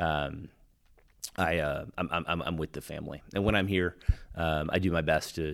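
With a very deep, low pitch, a man talks at a moderate pace using fairly even intonation. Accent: American. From Texas. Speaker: Marine veteran and software executive. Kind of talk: interview. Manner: halting, many fillers and repeated words.

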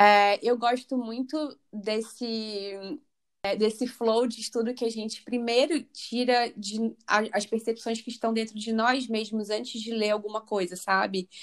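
The recording is very clean and the background silent. A plain, everyday voice talks at a fairly slow pace with fairly even intonation. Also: woman, fairly high pitch for a woman. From Rio de Janeiro, Brazil. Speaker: spiritual coach and biologist. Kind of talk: interview.

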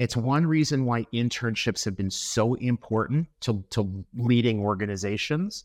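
The recording is very clean with a silent background and a dry, close sound with no echo. It carries an ordinary speaking voice with lively intonation at a moderate pace. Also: man. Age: 50s. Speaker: company founder and president. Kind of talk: interview conversation.

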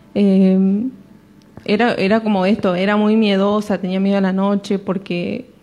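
The tone of this woman's voice is dark and mellow. She keeps her intonation flat and monotone. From Argentina, Córdoba province countryside. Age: 20s. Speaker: church youth member. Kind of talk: testimony. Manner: halting, many fillers.

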